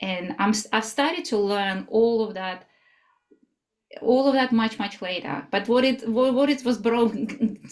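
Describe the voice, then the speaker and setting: At a fairly slow pace, a woman with a Russian accent speaks at a fairly high pitch with ordinary pitch variation. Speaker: somatic life coach. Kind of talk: interview. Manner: halting.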